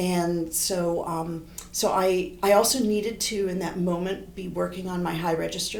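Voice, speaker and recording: Amid noticeable background noise and audible room echo, a woman with a fairly low pitch speaks at a moderate pace with fairly even intonation. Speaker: horn professor and composer. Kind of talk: interview.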